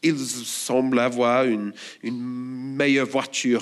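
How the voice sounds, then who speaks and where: Audible room echo surrounds this man's voice. He speaks with an Australian accent at medium pitch. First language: English (speaking French). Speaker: church elder and preacher. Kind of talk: sermon.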